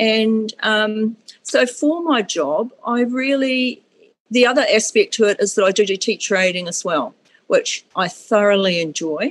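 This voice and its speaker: With a New Zealand accent, a woman speaks in a fairly high voice with lively intonation. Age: 50s. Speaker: school cleaner, podcast guest. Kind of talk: testimony. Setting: video call.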